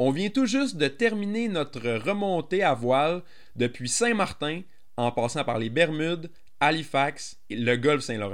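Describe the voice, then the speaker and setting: Fairly slow speech with very wide pitch swings. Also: man, fairly high pitch for a man. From Gaspésie, Quebec. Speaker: podcast host, sailing school owner. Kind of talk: podcast intro; casual interview.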